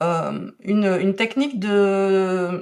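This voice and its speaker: A woman speaks at a medium pitch with a Belgian accent. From Belgium. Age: 40s. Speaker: calligraphy and drawing teacher. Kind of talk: interview. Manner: hesitant, many fillers.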